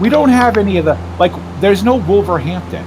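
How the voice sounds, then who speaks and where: Very fast speech with very wide pitch swings comes in an American accent. Audible room echo and noticeable background noise surround it. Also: man. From US, Massachusetts. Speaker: gaming streamer. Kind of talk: casual chat.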